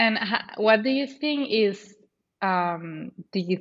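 A woman speaks at a very slow pace in a Spanish accent. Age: 20s. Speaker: podcast host. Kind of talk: podcast interview.

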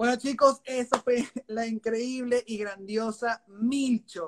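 A man is talking. The sound is dry and close, with no echo. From Venezuela. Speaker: podcast host, filmmaker. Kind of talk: casual interview chat. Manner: halting, many repetitions.

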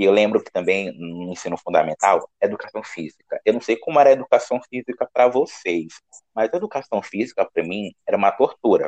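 Hardly any pauses interrupt the fairly quick delivery. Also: man. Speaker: podcast host. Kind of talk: casual chat.

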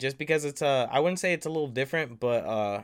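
The speaker has an American accent and an animated tone. The pitch varies in an ordinary way. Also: man. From Long Beach, California. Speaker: podcast host. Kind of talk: casual chat.

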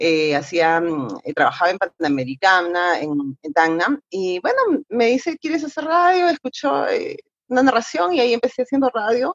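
Her fairly high voice moves at a moderate pace, and the woman's pitch swings very widely. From Moquegua, southern Peru. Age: 40s. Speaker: radio announcer and magazine presenter. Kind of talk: casual interview. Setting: video call.

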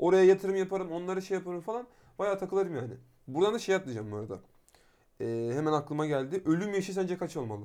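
Very fast and lively in intonation, a man speaks with a high pitch. His tone is dark and mellow. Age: 20s. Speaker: podcast co-host. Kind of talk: casual chat.

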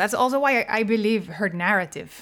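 A woman talks at a moderate pace in a Spanish accent. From Colombia. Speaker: pop singer. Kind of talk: casual chat.

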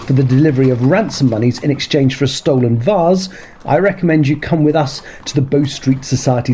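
An unforced reading voice, its pitch rising and falling in the usual way

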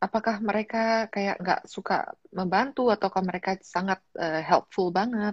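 Fairly slow and with fairly even intonation, this is an unremarkable speaking voice. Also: woman. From Malang, East Java, Indonesia. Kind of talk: casual interview.

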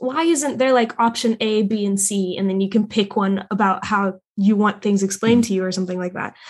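A woman talks at a fairly quick pace with hardly any pauses, her medium-pitched voice somewhat breathy. Her pitch varies in an ordinary way. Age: 20s. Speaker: podcast host, artist. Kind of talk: casual chat; scripted ad read. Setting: video call.

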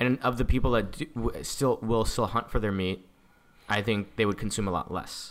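A man has a plain, everyday voice at medium pitch. He speaks at a moderate pace with ordinary pitch variation. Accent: American. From San Diego, California; Indian parents. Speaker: entrepreneur. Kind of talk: casual chat.

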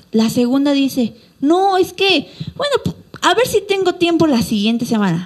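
Fairly slow, animated delivery with very wide pitch swings over noticeable background noise. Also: woman. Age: 20s. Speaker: pastor. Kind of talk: sermon.

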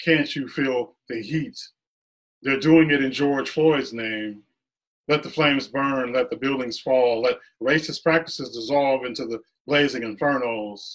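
Fairly slow speech from a man, fairly high in pitch, with ordinary pitch variation. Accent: American. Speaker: poet. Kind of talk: poetry reading. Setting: video call. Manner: animated, rhythmic.

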